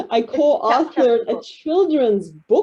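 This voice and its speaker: Her American accent comes with a dark, mellow tone as this woman's voice moves through very wide pitch swings. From United States. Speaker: librarian and children's author. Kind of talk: panel introduction. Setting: video call.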